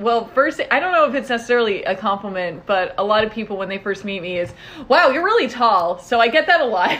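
Against noticeable background noise, a woman with a fairly high voice talks very fast, her pitch swinging very widely. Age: 20s. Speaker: podcast co-host. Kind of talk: casual chat. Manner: animated.

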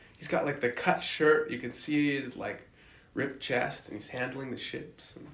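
Noticeable background noise sits behind a man speaking at a moderate pace. His fairly high voice keeps fairly even intonation but has big swings in loudness. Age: 20s. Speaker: college football player. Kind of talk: casual chat.

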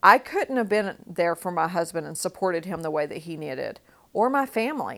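Here a woman speaks in a Texan accent at a moderate pace. The recording is very clean, with a silent background. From West Texas, small town. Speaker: podcast host. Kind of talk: personal storytelling monologue.

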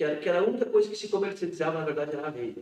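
Fairly high-pitched male voice with very wide pitch swings. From rural Rio Grande do Sul, Brazil. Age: 50s. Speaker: metalworker and union director. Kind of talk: interview about life story. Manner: halting, many repetitions.

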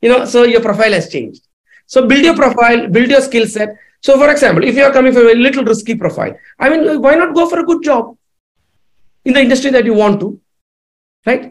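A man with an extremely high pitch and ordinary pitch variation talks at a very fast pace, broken by long, frequent pauses. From India. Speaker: entrepreneur and author. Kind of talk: interview. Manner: halting.

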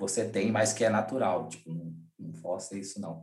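Here a man has an unremarkable speaking voice. He talks at a moderate pace with ordinary pitch variation. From Brazilian Northeast, Rio Grande do Norte. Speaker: event producer and music booker. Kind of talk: casual interview.

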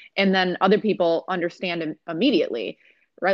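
A woman with an American accent at a fairly low pitch and fairly quick pace, an unremarkable speaking voice. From US, Rochester, New York. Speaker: mental health counselor and food business owner. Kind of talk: casual interview.

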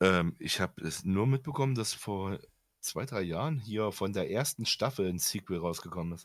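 A man with fairly low pitch and lively intonation speaks at a moderate pace in a very clean recording with a silent background. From Germany. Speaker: podcast co-host, gamer. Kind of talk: casual chat.

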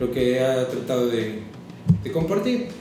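A man with a Mexican accent is recorded with audible room echo and noticeable background noise. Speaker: chef's assistant. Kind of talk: casual chat.

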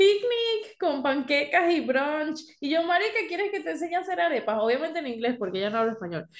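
With very wide pitch swings, a woman talks at a fairly quick pace in a high voice, hardly pausing at all. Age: 20s. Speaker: podcast co-host. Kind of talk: casual chat. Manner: code-switching Spanish and English.

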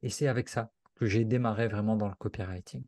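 A man speaks at a moderate pace in a dark, mellow tone, with a dry, close sound and no echo. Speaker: copywriter and author. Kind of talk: casual interview. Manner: fluid, natural delivery.

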